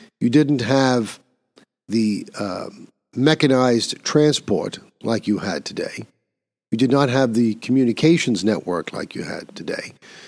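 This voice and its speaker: A plain, everyday voice with ordinary pitch variation at a fairly slow pace. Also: man, medium pitch for a man. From New York City. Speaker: podcast host. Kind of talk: solo commentary.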